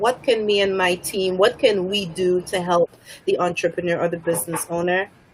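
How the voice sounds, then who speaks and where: There is noticeable background noise behind the speaker. She is a woman with a medium-pitched voice. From Saint Lucia. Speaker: public relations specialist. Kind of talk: self-introduction.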